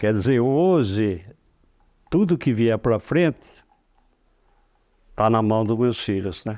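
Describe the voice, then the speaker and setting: A man with a dark, mellow tone and lively intonation, at a very slow pace with long, frequent pauses, against a quiet background. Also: medium pitch for a man. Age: 80s+. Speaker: cinema owner. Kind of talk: interview. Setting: office.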